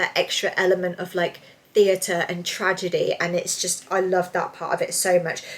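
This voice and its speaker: Over noticeable background noise, a woman speaks at a fairly quick pace with a medium pitch and monotone, flat intonation. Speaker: book reviewer. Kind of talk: casual video review. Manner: fast.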